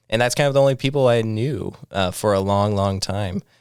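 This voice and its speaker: A man with an American accent has a normal speaking voice, pitched fairly low with ordinary pitch variation. He talks at a moderate pace on a very clean recording with a silent background. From US Midwest, Iowa. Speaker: podcast co-host. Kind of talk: casual chat.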